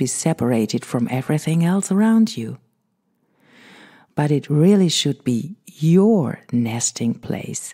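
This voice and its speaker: In a German accent, a woman with a very deep, low pitch speaks in a calm, dark, mellow tone with lively intonation on a very clean recording with a silent background. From Germany. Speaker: meditation podcast host. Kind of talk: podcast introduction before guided meditation. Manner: slow, calm.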